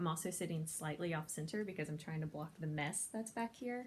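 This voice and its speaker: A woman speaks with a fairly low, somewhat breathy voice. Her pitch varies in an ordinary way. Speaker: convention panel host. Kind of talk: casual talk to camera. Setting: home, no microphone, quiet recording. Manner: fast.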